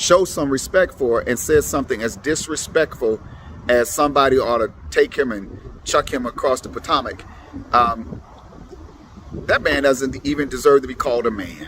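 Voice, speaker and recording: Ordinary pitch variation from a man, against noticeable background noise. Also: medium pitch for a man, moderate pace. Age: 60s. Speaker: political commentator vlogger. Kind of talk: casual political monologue to camera. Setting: at the elections office. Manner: halting, with repeats.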